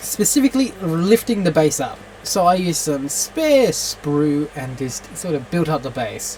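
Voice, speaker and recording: A woman goes along fairly slowly, and background noise is noticeable. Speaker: miniature painting youtuber. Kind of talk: hobby tutorial. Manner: stuttering; halting.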